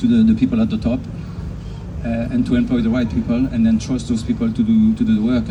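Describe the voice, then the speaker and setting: A man with a medium pitch talks at a very fast pace with fairly even intonation. Audible room echo and noticeable background noise fill the recording. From Switzerland. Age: 60s. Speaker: racing driver. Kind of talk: interview at event.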